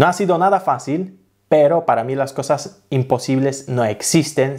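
A man speaks with a Polish accent at a medium pitch and a moderate pace, with ordinary pitch variation. The background is quiet. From Poland. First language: Polish (speaking Spanish). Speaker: travel vlogger; language-learning vlogger. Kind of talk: tutorial. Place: home room. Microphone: studio mic.

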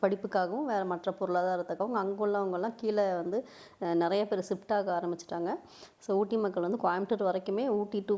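With a dark, mellow tone, a woman speaks at a medium pitch, her loudness very even and her intonation fairly even. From Tamil Nadu, Nilgiris (Ooty). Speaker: travel vlogger. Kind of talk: vlog voice-over.

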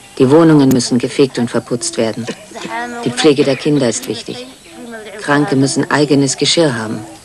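Over noticeable background noise, a woman with a very deep, low pitch talks at a moderate pace with ordinary pitch variation and long, frequent pauses. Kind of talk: interview testimony, dubbed German voice-over.

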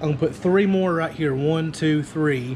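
There is noticeable background noise behind the man speaking. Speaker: online seller. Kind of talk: casual vlog chat. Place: garage. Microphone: phone near.

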